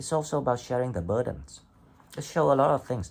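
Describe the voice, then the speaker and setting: A man with a non-native accent, medium in pitch, with lively intonation. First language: not English. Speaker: tarot reader. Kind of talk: tarot reading monologue. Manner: hesitant, with fillers and restarts.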